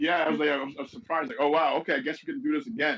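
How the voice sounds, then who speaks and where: Speaking with a New York accent, a man talks at a very fast pace. His pitch is fairly high, with very wide pitch swings. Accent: New York accent, can switch accents. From Venezuela, moved to US as teenager. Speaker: business consultant. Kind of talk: interview conversation.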